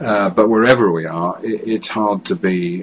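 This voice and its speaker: A man with a British accent. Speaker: stammering charity director. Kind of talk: testimony. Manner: halting.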